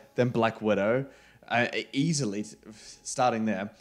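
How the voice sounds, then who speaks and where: A man with a medium pitch and ordinary pitch variation speaks, the background quiet. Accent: New Zealand. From New Zealand. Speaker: film podcast co-host. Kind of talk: casual chat. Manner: animated. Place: home room. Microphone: studio mic.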